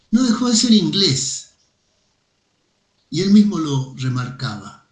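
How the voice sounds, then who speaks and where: A man with a Mendoza accent, very slow in pace, with very wide pitch swings. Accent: Mendoza Argentine accent, still present. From Argentina, Mendoza. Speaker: philosophy professor. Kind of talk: casual chat. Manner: hesitant, many fillers.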